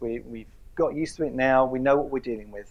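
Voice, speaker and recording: The man talks at a fairly quick pace. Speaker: presenter. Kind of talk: lecture. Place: hall. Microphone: lapel.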